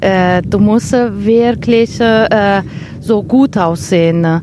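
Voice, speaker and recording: A woman talks in an Italian accent at a medium pitch with ordinary pitch variation. Noticeable background noise is present. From northern Italy, Vicenza. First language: Italian (speaking German). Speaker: art historian and seamstress. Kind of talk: casual interview. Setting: outdoors. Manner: halting, many hesitations.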